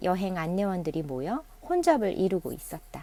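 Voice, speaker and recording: A woman's voice has a dark, mellow tone and very wide pitch swings. The recording is very clean with a silent background. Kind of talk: audiobook reading of an essay. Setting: on a boat.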